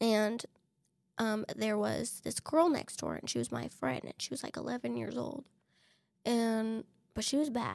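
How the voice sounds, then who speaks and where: A woman speaks with an American accent at a fairly slow pace. Her speech has long, frequent pauses. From Texas, El Paso. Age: 30s. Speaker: interviewee sharing personal story. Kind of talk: personal testimony interview.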